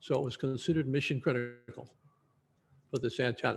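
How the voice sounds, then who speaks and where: A somewhat breathy man's voice of medium pitch, at a moderate pace with ordinary pitch variation, on a very clean recording with a silent background. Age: 80s+. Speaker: retired aerospace engineer. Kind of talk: lecture. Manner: animated.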